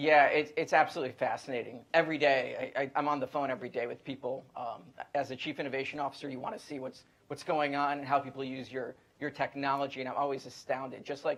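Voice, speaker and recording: Very fast and monotone, a man delivers flat intonation in a fairly high pitch. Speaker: tech company executive. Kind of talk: panel discussion.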